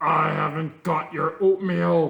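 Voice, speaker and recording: In a loud, gruff put-on character voice, a man speaks at a fairly high pitch with monotone, flat intonation. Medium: read story. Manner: blunt, gruff.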